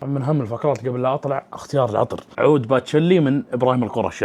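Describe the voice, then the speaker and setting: Noticeable noise fills the background. Over it, the man speaks fairly quickly. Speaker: vlogger. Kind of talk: casual vlog chat. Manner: loud.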